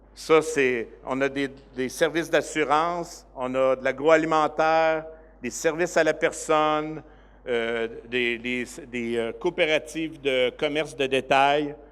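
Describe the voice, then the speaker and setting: A man with a Quebec accent speaks very slowly in a fairly high pitch, his intonation fairly even. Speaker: director of a cooperative organization. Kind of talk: conference presentation. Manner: hesitant, many fillers.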